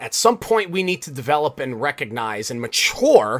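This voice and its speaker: Loud and animated, a man speaks at a moderate pace with very wide pitch swings and a bright, sharp tone. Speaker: podcast host. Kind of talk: solo podcast monologue.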